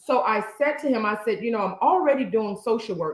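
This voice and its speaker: A woman speaks in an animated tone. Her pitch variation is ordinary. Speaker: podcast co-host, social worker. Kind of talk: casual chat. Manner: halting.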